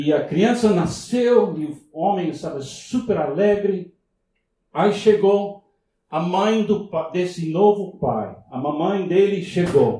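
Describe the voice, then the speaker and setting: Speaking very slowly with an English accent, a man uses a high pitch, a dark, mellow tone and ordinary pitch variation. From US, Miami. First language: English (speaking Portuguese). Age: 70s. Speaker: visiting pastor. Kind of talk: sermon. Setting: church. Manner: halting.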